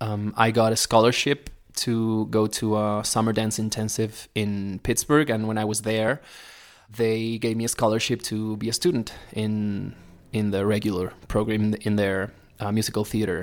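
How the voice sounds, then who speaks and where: A man talks with an Argentine accent at a fairly low pitch. His intonation stays fairly even and his pace is moderate. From Argentina, Neuquén (Patagonia). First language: Spanish. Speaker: musical theatre performer. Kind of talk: casual interview chat. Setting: remote call from Mexico.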